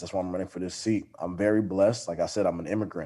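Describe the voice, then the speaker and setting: A man with an American accent speaks in a dark, mellow tone with monotone, flat intonation. The recording is very clean with a silent background. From Texas, Arlington area. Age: 20s. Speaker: city council candidate. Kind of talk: interview.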